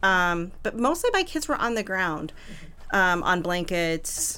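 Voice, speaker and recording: A very slow voice with a bright, sharp tone and ordinary pitch variation. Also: woman. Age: 50s. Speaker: birth doula and mother. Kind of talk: panel discussion.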